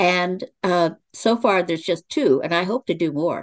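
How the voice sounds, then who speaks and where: A woman speaks at a moderate pace in a medium pitch, her voice recorded dry and close with no echo. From Oklahoma. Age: 70s. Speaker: author and playwright. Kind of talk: interview.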